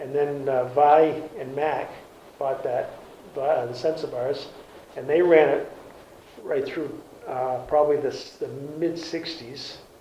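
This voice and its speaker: A man with an Eastern New England accent speaks at a fairly slow pace in a fairly high pitch, with fairly even intonation and long, frequent pauses, amid noticeable background noise and audible room echo. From Cape Cod, Massachusetts. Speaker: retired garage and oil business owner. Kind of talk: oral history interview. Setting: library. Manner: halting.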